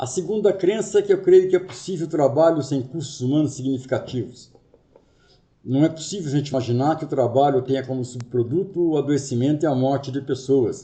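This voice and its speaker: A man speaks fairly quickly in a fairly high, somewhat breathy voice with a dark, mellow tone. Room echo can be heard around him. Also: ordinary pitch variation. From Brazil, Rio de Janeiro. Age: 50s. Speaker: workplace safety consultant and trainer. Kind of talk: lecture.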